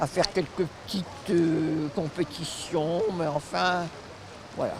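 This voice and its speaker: Noticeable background noise is present. The voice is a woman's. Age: 90s. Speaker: masters swimmer. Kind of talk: interview.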